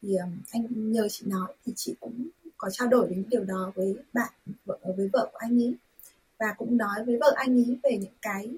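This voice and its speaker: Somewhat breathy and fairly high in pitch, a woman talks at a moderate pace. Her intonation is fairly even. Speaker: volunteer and interpreter. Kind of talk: radio interview.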